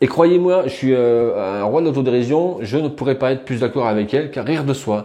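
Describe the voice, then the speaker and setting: Fairly quick delivery from a man, medium in pitch, with ordinary pitch variation. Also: hardly any pauses. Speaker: personal development youtuber. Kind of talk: video monologue on self-improvement. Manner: fast, sometimes tripping over words; casual, many fillers.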